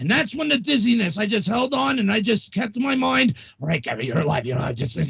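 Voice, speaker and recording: Amid noticeable background noise, a high-pitched man with an American accent talks at a very fast pace with very wide pitch swings. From New York. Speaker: radio show host. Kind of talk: casual chat. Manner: animated; halting.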